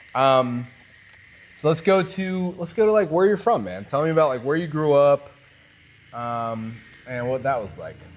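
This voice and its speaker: Long, frequent pauses, very wide pitch swings and big swings in loudness over music in the background. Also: man, fairly high pitch for a man, moderate pace. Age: 20s. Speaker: tattoo artist and podcast host. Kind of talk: casual interview chat. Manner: animated.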